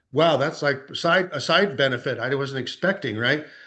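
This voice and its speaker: A man's fairly high pitch moves with ordinary variation. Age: 60s. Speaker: real estate agent. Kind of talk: testimony. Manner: fast; halting, many fillers.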